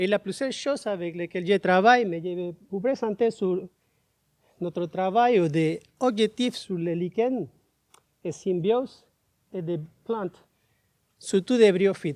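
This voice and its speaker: A man's high-pitched, very slow speech with a Spanish accent, ordinary pitch variation, long, frequent pauses, and a dry, close sound with no echo. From Panama. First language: Spanish (speaking French). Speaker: biology professor. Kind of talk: conference talk. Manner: halting.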